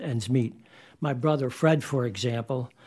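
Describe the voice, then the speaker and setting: This man speaks at a moderate pace in a dark, mellow tone at medium pitch, with fairly even intonation on a very clean recording with a silent background. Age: old. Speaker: retiree testifying at a hearing. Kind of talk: testimony.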